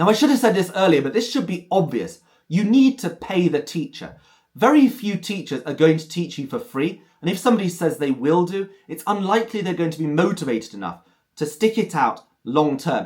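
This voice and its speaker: A man with a high voice, lively intonation and a fairly quick pace. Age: 30s. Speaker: language teacher and polyglot. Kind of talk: tutorial. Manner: clear, careful enunciation.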